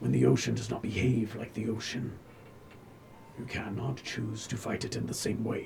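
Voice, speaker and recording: A man speaks at a moderate pace in a put-on character voice of medium pitch, with clear background noise present. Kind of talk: fantasy oracle speech. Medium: actual play. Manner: slow, cryptic, poetic.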